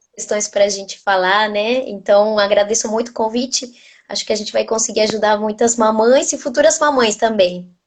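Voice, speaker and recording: Moderate speed and normal pitch movement from a woman with a fairly high voice. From Argentina. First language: Spanish (speaking Portuguese). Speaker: nutritionist. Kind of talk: casual interview, live video.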